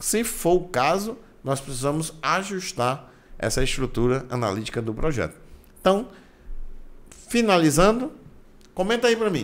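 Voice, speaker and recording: In a Brazilian accent, a man speaks at a moderate pace with very wide pitch swings and long, frequent pauses. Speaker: construction management instructor. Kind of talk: tutorial. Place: home room. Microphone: studio mic.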